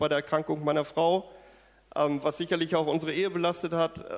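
A man talks at a fairly high pitch. Noticeable background noise runs underneath. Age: 40s. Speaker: church member giving testimony. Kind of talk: testimony. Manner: hesitant, many fillers.

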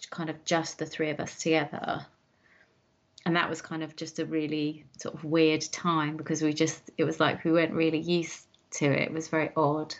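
Speaking at a moderate pace, a woman with an English accent has a very deep, low pitch. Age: 40s. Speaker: guest, mother. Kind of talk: interview. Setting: video call. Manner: halting.

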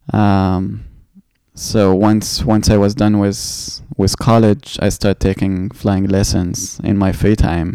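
A man's fairly low, dark, mellow voice with an Arabic accent, a very slow pace, and fairly even intonation. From Egypt (Cairo). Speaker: Olympic swimmer. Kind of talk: interview.

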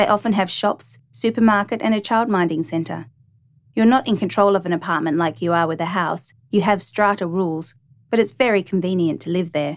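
Heard on a very clean recording with a silent background, a woman with an Australian accent speaks fairly quickly at medium pitch with ordinary pitch variation. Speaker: narrator. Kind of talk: scripted narration.

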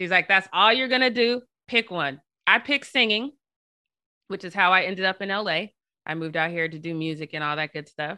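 A woman with a General American accent talks at a fairly quick pace with lively intonation, big swings in loudness, and long, frequent pauses. The sound is dry and close with no echo, over a quiet background. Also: medium pitch for a woman. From Denver, Colorado. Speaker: journalist. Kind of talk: interview.

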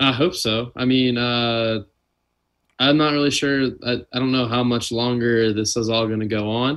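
A man with a plain, everyday voice, medium pitch and an American accent speaks at a moderate pace with fairly even intonation. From US South, Louisiana (New Orleans). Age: 20s. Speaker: volleyball player. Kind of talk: casual chat.

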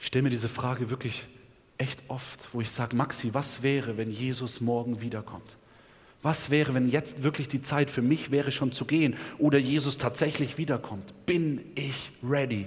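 Fairly even intonation in a man's somewhat breathy delivery. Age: 20s. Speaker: preacher. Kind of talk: sermon. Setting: church.

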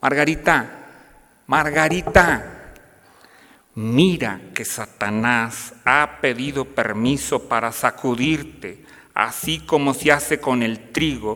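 Speaking at a very slow pace, a man uses a medium pitch. His pitch varies in an ordinary way. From northern Mexico, Piedras Negras, Coahuila (border town). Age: 50s. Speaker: university professor and lay speaker. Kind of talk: parish talk to parents.

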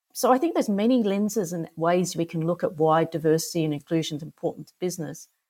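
A woman with an Australian accent, fairly low pitch and fairly quick pace, on a very clean recording with a silent background. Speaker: author and non-executive director. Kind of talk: casual interview.

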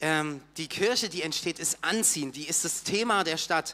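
A man's high-pitched voice, bright and sharp in tone, with ordinary pitch variation at a moderate pace. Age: 30s. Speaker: church volunteer and teacher. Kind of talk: sermon.

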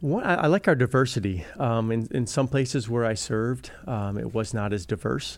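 With an American accent and an unremarkable speaking voice, a man at medium pitch speaks at a moderate pace with lively intonation and hardly any pauses. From Wisconsin, US Midwest. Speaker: school superintendent. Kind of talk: interview.

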